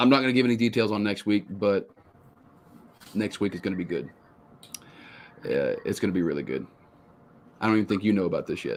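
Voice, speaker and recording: Over noticeable background noise, a man with a Texan accent and a fairly low pitch talks at a very fast pace with ordinary pitch variation and long, frequent pauses. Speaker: outdoors podcast host. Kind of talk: casual chat.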